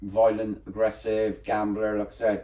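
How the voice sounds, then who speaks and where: Speaking very slowly in a West Country accent, a man has fairly low pitch and a dark, mellow tone. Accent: West Country English (Bristol). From England, Bristol (East Bristol). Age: 60s. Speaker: graffiti artist. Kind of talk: interview.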